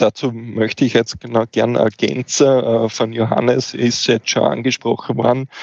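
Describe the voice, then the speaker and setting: At a fairly slow pace with hardly any pauses, a man keeps a medium pitch, fairly even intonation and very even loudness. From eastern Austria, Wiener Neustadt. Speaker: fire safety officer. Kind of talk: podcast interview.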